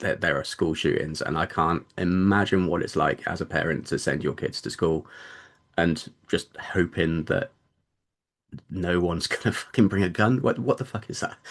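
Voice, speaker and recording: In a British accent, a man speaks with a very deep, low pitch. The background is quiet. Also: ordinary pitch variation, moderate pace. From Britain. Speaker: debut novelist. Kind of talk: interview. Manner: halting, many repeated words.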